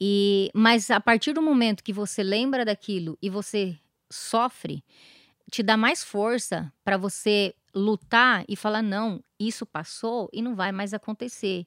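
With an ordinary speaking voice, a woman talks fairly slowly at a medium pitch and ordinary pitch variation, in a very clean recording with a silent background and a dry, close sound with no echo. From southern Brazil, interior of Paraná. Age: 40s. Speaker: founder of a support association for abuse victims. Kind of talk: interview, personal testimony.

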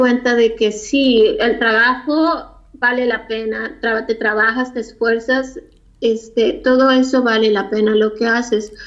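The woman here has a high pitch and fairly even intonation. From Mexico (Mexico City, then Tijuana). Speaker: fashion designer. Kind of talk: interview.

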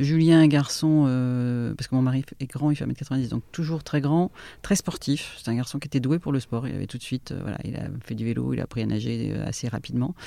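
With a dark, mellow tone and a very deep, low pitch, a woman speaks at a fairly quick pace with ordinary pitch variation. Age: 50s. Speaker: life coach. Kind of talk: testimony.

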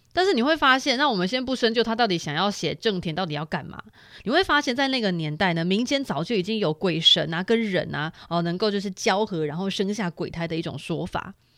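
A woman at medium pitch talks at a fairly quick pace with hardly any pauses. Her pitch swings very widely. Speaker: podcast host. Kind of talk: casual solo monologue. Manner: slightly slurred, hard to curl tongue.

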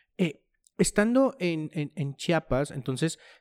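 Captured dry and close with no echo in a very clean recording with a silent background, a man with a normal speaking voice talks at a fairly slow pace with ordinary pitch variation. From Mexico, La Laguna region. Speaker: podcast host. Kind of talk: interview.

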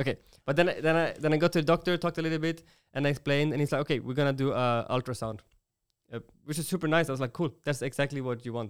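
Talking at a very fast pace, a man with a Swedish accent has a fairly high pitch and ordinary pitch variation. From Sweden. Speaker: podcast host. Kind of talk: casual chat.

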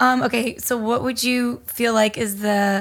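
A woman's fairly high, somewhat breathy voice keeps a fairly even intonation on a very clean recording with a silent background. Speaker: podcast host. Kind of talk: casual interview chat.

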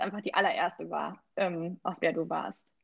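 A woman is speaking. Her voice has vocal fry. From rural Germany. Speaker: travel podcast co-host. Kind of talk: casual chat.

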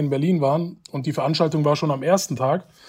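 On a very clean recording with a silent background, a somewhat breathy man with a fairly high pitch speaks at a fairly quick pace in a flat monotone. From Germany, Hanau (Hesse). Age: 20s. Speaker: education initiative project coordinator. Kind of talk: interview.

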